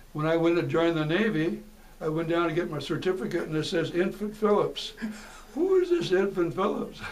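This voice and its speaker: Amid noticeable background noise and audible room echo, a man with an American accent and a high pitch speaks at a fairly quick pace with ordinary pitch variation. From Seattle, US Pacific Northwest. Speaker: war veteran, retired teacher. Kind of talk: oral history interview. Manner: halting.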